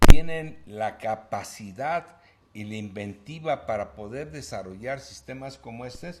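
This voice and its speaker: This man's intonation is lively. He talks very slowly. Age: 70s. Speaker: broadcaster. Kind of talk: interview.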